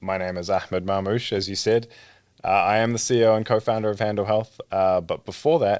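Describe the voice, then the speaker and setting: A man with a New Zealand accent, fairly low pitch and fairly quick pace on a very clean recording with a silent background. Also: fairly even intonation. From New Zealand (born in Egypt). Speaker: startup founder and CEO, trained pharmacist. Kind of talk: podcast interview.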